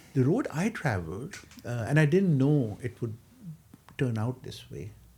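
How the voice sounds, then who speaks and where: A man's tone is dark and mellow, somewhat breathy. His intonation is lively. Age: 60s. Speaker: architect. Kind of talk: interview. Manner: hesitant, with many fillers.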